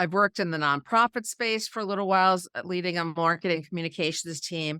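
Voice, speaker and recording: Fast as can be, a woman with a New York accent talks in a fairly low, bright, sharp tone, the sound dry and close with no echo. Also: ordinary pitch variation, very clean recording, silent background. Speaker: PR consultant and entrepreneur. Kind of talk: interview conversation. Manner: repeats words when starting sentences.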